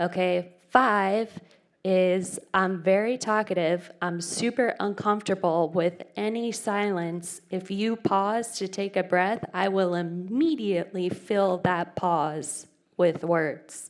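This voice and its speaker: The woman speaks in a Phoenix accent. Her pace is very slow. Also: medium pitch for a woman, ordinary pitch variation. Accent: self-described weird Phoenix. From Phoenix, Arizona, US. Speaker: conference speaker. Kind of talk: conference talk. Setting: movie theater with audience. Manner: casual, interactive.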